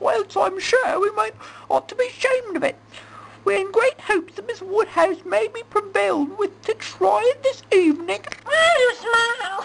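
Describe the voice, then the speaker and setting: This put-on character voice has an extremely high pitch and moves at a moderate pace. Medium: comedy sketch.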